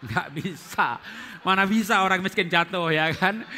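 With a raised, projected voice and an animated tone, a man with a high pitch speaks at a moderate pace over light background noise. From Central Java, Indonesia (Solo); Central Java, Indonesia. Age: 50s. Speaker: pastor and marriage teacher; pastor, marriage teacher. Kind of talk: seminar teaching. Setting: stage with audience. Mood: cheerful, joking. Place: church. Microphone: headset.

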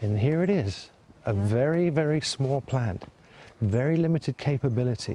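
At a moderate pace and medium pitch, a man speaks in a dark, mellow, somewhat breathy tone with lively intonation and very even loudness. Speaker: businessman and interviewee. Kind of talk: interview soundbites.

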